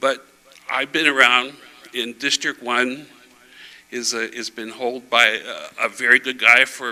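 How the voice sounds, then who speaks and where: A man at medium pitch, speaking at a fairly slow pace in a monotone, flat intonation, with noticeable background noise. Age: 60s. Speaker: school board candidate. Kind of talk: candidate forum speech. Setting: church with audience. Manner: halting.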